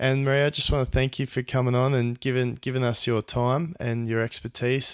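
A man with an Australian accent talks at a fairly quick pace, his medium-pitched voice holding fairly even intonation. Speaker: podcast host. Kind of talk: interview; podcast intro.

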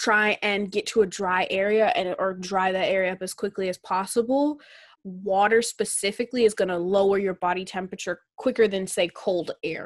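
A woman with a normal speaking voice and an American accent, at a medium pitch and moderate pace, with fairly even intonation and a dry, close sound with no echo. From US Upper Midwest, Minnesota. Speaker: podcast co-host. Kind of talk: casual chat.

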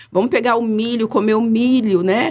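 Using a normal speaking voice, the woman keeps a fairly high pitch that varies in an ordinary way. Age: 40s. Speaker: product consultant. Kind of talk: interview. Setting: studio.

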